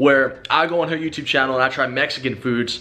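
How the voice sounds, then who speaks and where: A man's voice with ordinary pitch variation. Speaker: vlogger host. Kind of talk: casual vlog chat. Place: home room. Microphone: phone near.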